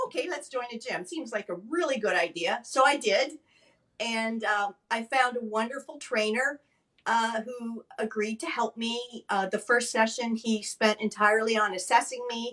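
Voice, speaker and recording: A woman speaks at a moderate pace with a fairly high pitch. She has a plain, everyday voice. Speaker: stroke advocate and former nurse. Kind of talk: interview testimony.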